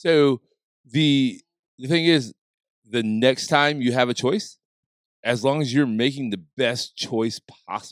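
A man of medium pitch with an American accent speaks at a very slow pace with long, frequent pauses and ordinary pitch variation, in a dry, close sound with no echo. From small-town US. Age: 40s. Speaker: podcast co-host. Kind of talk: casual chat.

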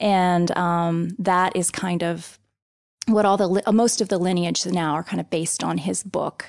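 Against a quiet background, a woman speaks at a moderate pace in a fairly low pitch with fairly even intonation. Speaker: yoga nidra instructor. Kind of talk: casual interview explaining practice. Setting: studio. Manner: calm, flowing when explaining the practice.

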